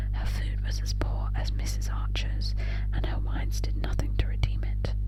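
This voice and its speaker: A woman whispers in a soothing tone over noticeable background noise. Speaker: ASMR audiobook reader. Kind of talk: audiobook reading of a classic novel. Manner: up-close whisper, soothing.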